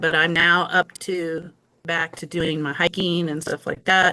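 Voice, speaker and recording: A woman has a bright, sharp tone and a fairly low pitch. She talks at a fairly slow pace. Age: 60s. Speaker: patient sharing health experience. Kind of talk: interview testimony.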